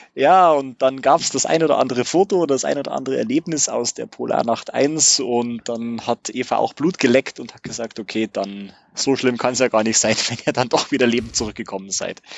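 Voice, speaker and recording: In a plain, everyday voice, a man speaks at a fairly quick pace and medium pitch, with ordinary pitch variation and big swings in loudness. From Bavaria, Regensburg. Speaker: camper van traveller. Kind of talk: casual chat. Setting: in his motorhome. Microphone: good sound in motorhome.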